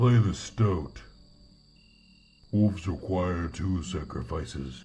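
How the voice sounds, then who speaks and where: Very deep, low pitch in a man's put-on character voice, delivered at a fairly slow pace. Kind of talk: video game character voice-over.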